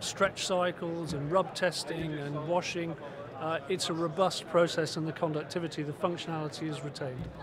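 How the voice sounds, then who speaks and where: Flat, monotone intonation moves at a moderate pace in a dry sound with no echo, against noticeable background noise. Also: man. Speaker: startup sales executive. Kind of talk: trade show interview. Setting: trade show floor. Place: hall. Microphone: phone near.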